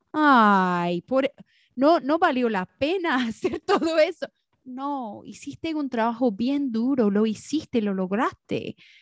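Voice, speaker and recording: With a high pitch and very wide pitch swings, a woman speaks at a very slow pace in a dry, close sound with no echo against a quiet background. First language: English (speaking Spanish). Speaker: podcast co-host. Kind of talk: casual chat. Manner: halting, searching for Spanish words.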